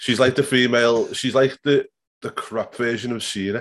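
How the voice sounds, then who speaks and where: A man with a normal speaking voice, medium in pitch, at a moderate pace. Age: 30s. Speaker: wrestling podcast host. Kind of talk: casual chat. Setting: home bedroom.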